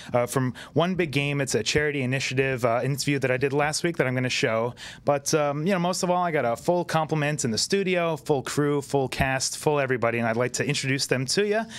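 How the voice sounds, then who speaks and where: The man's pitch sits fairly high. He talks very fast. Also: ordinary pitch variation, very even loudness. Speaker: talk show host. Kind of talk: live talk show hosting, banter. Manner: upbeat, energetic.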